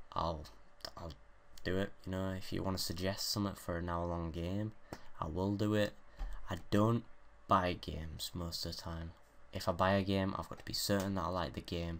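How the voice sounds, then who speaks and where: A man with a very deep, low pitch and a British accent mumbles with fairly even intonation and long, frequent pauses. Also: moderate pace. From Great Britain. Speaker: gaming YouTuber. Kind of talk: casual gameplay commentary. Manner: mumbling.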